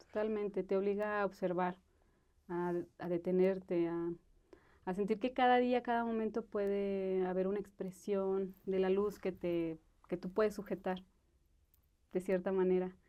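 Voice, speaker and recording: A woman of medium pitch speaks at a fairly slow pace in a monotone, flat intonation, with long, frequent pauses. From Mexico, Aguascalientes. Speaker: film director. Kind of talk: interview. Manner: halting, many fillers.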